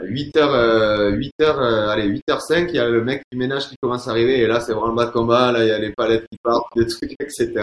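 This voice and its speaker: A man of medium pitch talks at a fairly quick pace with ordinary pitch variation and hardly any pauses. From Toulouse, southern France. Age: 30s. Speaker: fruit and vegetable buyer. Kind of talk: casual interview.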